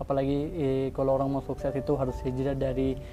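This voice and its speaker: At a rather fast clip, a man talks over music playing behind him. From Pakistan. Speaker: carpet businessman. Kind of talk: interview testimony. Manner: halting.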